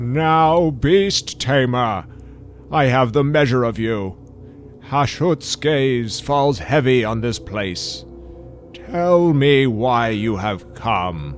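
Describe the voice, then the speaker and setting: A man's put-on character voice at medium pitch, very slow, with clear background noise. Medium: audio drama. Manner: commanding.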